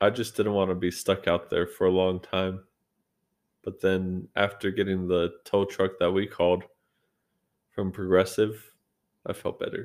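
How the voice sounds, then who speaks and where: Monotone, flat intonation broken by long, frequent pauses. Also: man, very deep, low pitch for a man. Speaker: co-host, husband.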